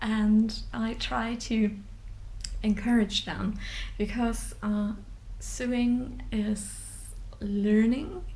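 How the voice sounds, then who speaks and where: There is audible room echo as a woman speaks with a German accent. She goes at a very slow pace with fairly even intonation. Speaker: sewing vlogger. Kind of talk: unscripted vlog talk. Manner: halting, many fillers.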